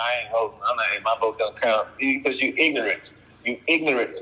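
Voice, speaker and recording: Noticeable background noise runs under fairly fast speech. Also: man. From US South, Texas (Houston). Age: 60s. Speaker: actor-comedian, former police officer. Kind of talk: casual interview chat. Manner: animated.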